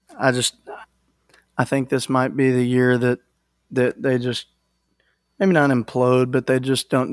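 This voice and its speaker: In a very clean recording with a silent background and a dry, close sound with no echo, a man with a Texan accent speaks at a moderate pace and medium pitch in a monotone, flat intonation. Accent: Texan Southern US. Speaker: sports podcast co-host. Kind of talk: casual chat.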